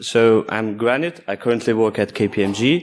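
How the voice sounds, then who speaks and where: A man speaks at a medium pitch with a non-native accent and a fairly slow pace. His pitch varies in an ordinary way, and the recording is very clean with a silent background. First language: not English. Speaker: security engineer, conference speaker. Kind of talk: conference talk.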